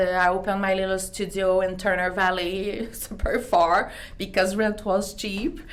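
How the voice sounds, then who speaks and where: There is audible room echo as a woman speaks with a Quebec accent. Her pitch is medium, her pace fairly slow and her intonation fairly even. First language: French. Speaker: beauty clinic owner. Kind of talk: interview. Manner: halting.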